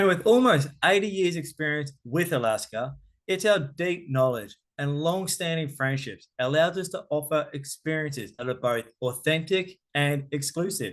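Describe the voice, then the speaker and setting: A man with an Australian accent talks at a moderate pace with lively intonation and a fairly high pitch. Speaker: cruise tour director. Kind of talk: travel presentation. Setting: online virtual event.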